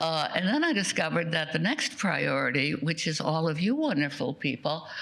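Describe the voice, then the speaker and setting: Amid noticeable background noise, a woman with a very deep, low pitch talks at a moderate pace, keeping very even loudness and ordinary pitch variation. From Austria. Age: 90s. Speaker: Holocaust survivor speaker. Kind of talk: testimony. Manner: drops voice at sentence ends.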